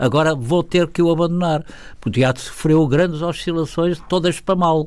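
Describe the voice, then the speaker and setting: The man's voice sits at a high pitch. His intonation is fairly even. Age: 80s+. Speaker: theatre impresario. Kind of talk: interview.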